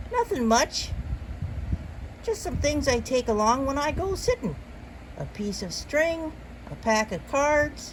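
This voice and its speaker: In a put-on character voice pitched high, a woman speaks loudly with long, frequent pauses over clear background noise. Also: fairly slow pace. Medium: read story. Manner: folksy, forceful, dropping g's.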